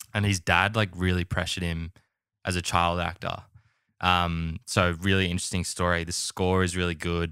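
A man with an Australian accent speaks in a very deep, low voice with a bright, sharp tone, flat monotone intonation and a moderate pace, on a very clean recording with a silent background. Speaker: podcast host. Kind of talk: casual chat.

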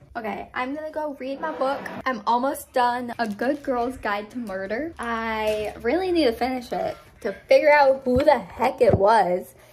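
Against noticeable background noise, a woman speaks with an American accent at a moderate pace. Her pitch is high, with ordinary variation. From Upstate New York (Adirondacks); New York. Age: 20s. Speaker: college student vlogger. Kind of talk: casual vlog. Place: home room. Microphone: phone near.

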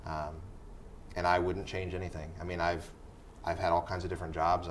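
Over light background noise, a man with an American accent talks in a very deep, low pitch with monotone, flat intonation. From US Midwest, Indiana. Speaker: high school English teacher and theater director; high school English teacher. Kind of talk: interview. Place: studio.

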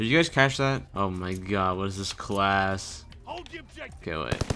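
Music plays in the background as a man speaks at a very slow pace. His pitch is fairly low. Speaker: gaming commentator. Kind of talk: live gameplay commentary. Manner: monotone.

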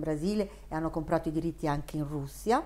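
A dark, mellow tone in a Neapolitan accent, very fast, with ordinary pitch variation. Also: woman. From Milan, northern Italy. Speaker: children's book author. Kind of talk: interview; interview answer. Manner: hesitant, with fillers. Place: home room.

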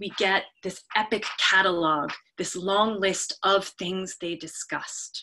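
The delivery is a natural reading voice with fairly even intonation. The background is quiet.

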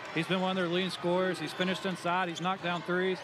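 Noticeable background noise runs behind a man speaking at a high pitch in a dry sound with no echo. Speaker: color commentator. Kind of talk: live color commentary, analytical. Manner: measured, explanatory, conversational analyst. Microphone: headset.

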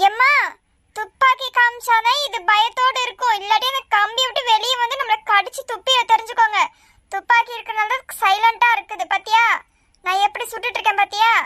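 At a moderate pace, a woman performs a cartoonish character voice at an extremely high pitch. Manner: curt, bossy.

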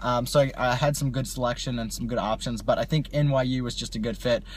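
The voice is somewhat breathy and goes at a very fast pace. The sound is dry, with no echo. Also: man. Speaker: vlogger. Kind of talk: casual vlog chat. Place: car. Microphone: phone near.

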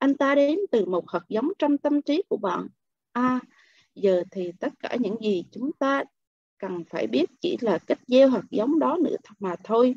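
A woman speaks very slowly at a high pitch, with very wide pitch swings. The sound is dry with no echo, and the background is quiet. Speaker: book club member; book club reader. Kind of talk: reading aloud. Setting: video call. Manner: expressive. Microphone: video call.

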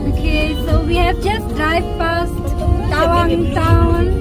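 Loud music plays in the background as a woman speaks, the sound dry with no echo. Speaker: travel vlogger. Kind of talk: casual vlog chat. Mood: cheerful, relaxed. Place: car. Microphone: phone near.

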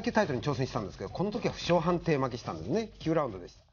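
Light background noise sits under a man speaking at a very fast pace. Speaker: boxing broadcast presenter giving fighter profiles. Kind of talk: sports broadcast commentary. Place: studio. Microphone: lapel.

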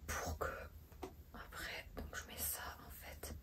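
A woman speaks at a very slow pace over loud background noise. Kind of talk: role-play salon chat to a client. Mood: soft, friendly, attentive. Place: shop. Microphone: phone near.

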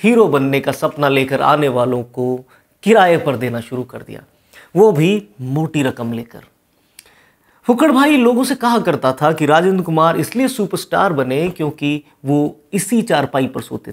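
Over a quiet background, a man talks at a fairly slow pace, with big swings in loudness and very wide pitch swings. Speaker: presenter. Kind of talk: storytelling commentary. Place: studio. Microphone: lapel.

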